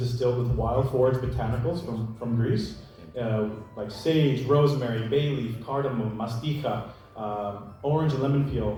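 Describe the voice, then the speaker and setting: A man with an American accent talks at a moderate pace with ordinary pitch variation. Noticeable background noise and audible room echo fill the recording. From US, New York. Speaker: gin producer. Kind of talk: presentation. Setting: stage with audience.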